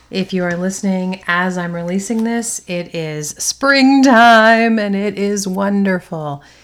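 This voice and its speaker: A woman speaks at a fairly slow pace in a plain, everyday voice. Her pitch is medium, with ordinary pitch variation. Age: 50s. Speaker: podcast host on online content creation. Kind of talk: solo podcast talk.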